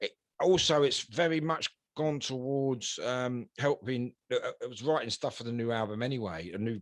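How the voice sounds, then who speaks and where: With a London accent and lively intonation, a man at a medium pitch speaks at a moderate pace, heard with a dry, close sound and no echo. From south London. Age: 60s. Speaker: punk rock singer and bassist. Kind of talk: interview. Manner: halting, many fillers and repeats.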